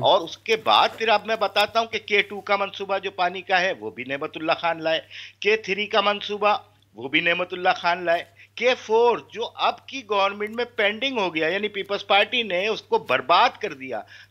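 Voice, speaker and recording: Against a quiet background, a man raises and projects his voice, its tone bright and sharp, with a high pitch and ordinary pitch variation. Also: moderate pace. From Pakistan. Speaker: party representative; guest. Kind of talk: political debate. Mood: assertive, correcting other guest. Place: home room. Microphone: video call.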